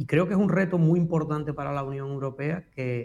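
Speaking at a moderate pace with an Andalusian accent, a man has a fairly high pitch with ordinary variation. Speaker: history professor. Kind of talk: educational radio talk.

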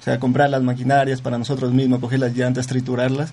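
A man talks at a medium pitch. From Zamora province, Ecuador. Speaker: student entrepreneur. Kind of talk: radio interview. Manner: halting, many repetitions.

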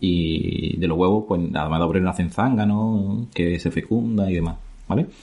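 A man speaks with a very deep, low pitch and ordinary pitch variation. His loudness stays very even. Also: moderate pace. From Andalusia, Spain (La Barca de la Florida, Jerez, Cádiz). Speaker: biologist. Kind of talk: casual interview. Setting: in person.

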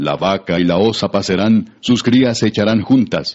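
An ordinary speaking voice, delivered at a moderate pace. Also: man. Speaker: scripture narrator. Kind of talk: scripture reading, solemn literary narration. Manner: measured, formal, steady.

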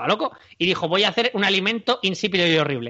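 Lively intonation marks this man's speech. He moves at a fairly quick pace. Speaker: podcast host. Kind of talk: casual chat. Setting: recording from home during quarantine.

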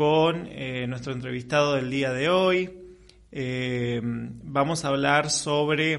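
A man speaks at a fairly high pitch. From Argentina, Chaco. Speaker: radio host. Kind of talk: radio interview.

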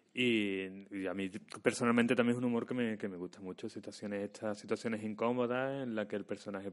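A man speaks at a fairly quick pace with fairly even intonation. He has a normal speaking voice. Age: 30s. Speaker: actor and screenwriter. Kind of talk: casual chat.

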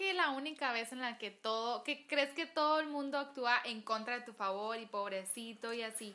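Fairly slow speech from a woman, fairly high in pitch and ordinary in pitch variation. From Agua Prieta, Sonora, Mexico. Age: 20s. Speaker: gastronomy student. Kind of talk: casual chat.

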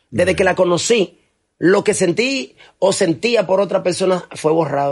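This man talks at a fairly quick pace in a high voice with ordinary pitch variation. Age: 50s. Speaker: actor. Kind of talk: casual chat.

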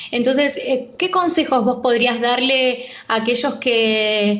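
A woman with a high pitch speaks at a fairly slow pace with ordinary pitch variation. Noticeable background noise and audible room echo fill the recording. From Buenos Aires western suburbs, Argentina. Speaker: radio co-host. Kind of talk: radio interview.

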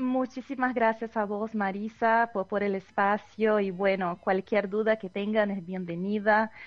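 In a Portuguese accent, a woman speaks at a fairly slow pace with a medium pitch and monotone, flat intonation. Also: hardly any pauses. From southern Brazil (Novo Hamburgo). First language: Portuguese (speaking Spanish). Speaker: Portuguese and art teacher. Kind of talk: radio interview.

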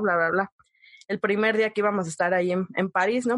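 A woman's medium-pitched, fairly quick delivery in a plain, everyday voice, with a dry, close sound and no echo. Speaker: podcast host. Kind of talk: casual chat.

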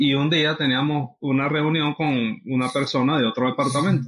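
With fairly even intonation, a man speaks at a moderate pace in a fairly high voice. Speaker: podcast co-host. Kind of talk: casual chat.

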